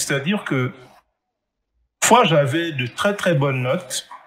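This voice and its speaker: A man with a fairly high voice speaks in a somewhat breathy way. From Gabon. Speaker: 3D artist and entrepreneur. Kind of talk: interview.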